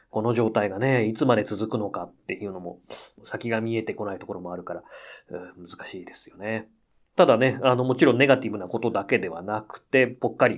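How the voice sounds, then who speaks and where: A man talks at a fairly quick pace in a plain, everyday voice, with medium pitch and ordinary pitch variation. His loudness swings widely, and the recording is very clean with a silent background. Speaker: pianist and podcast host. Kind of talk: casual radio-style monologue.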